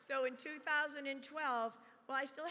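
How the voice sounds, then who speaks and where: A woman speaks in a raised, projected voice with a bright, sharp tone. Her pitch is high and her pace moderate. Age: 60s. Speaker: retired federal employee, political speaker. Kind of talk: prepared speech.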